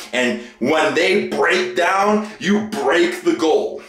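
Music plays in the background as a man speaks. Room echo is audible. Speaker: fitness vlogger. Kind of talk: casual vlog chat. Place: bathroom. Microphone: phone near.

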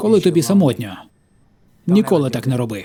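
There's some breathiness in this man's voice. His pitch leaps between extremes. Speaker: voice-over dubber. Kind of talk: dubbed stand-up comedy.

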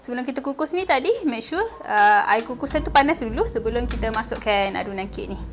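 A woman talks at a very fast pace with hardly any pauses. Noticeable background noise sits behind her. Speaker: cooking video host. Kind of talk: cooking tutorial. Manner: casual.

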